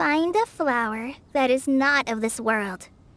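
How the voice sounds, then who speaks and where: A woman's put-on character voice, gentle in tone, very slow, with very wide pitch swings. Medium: video game. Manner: hesitant, gentle.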